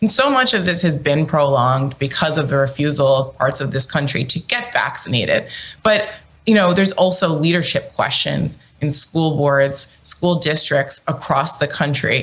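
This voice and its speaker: A woman's very deep, low voice with lively intonation at a moderate pace, over noticeable background noise. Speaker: political commentator. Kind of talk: panel discussion.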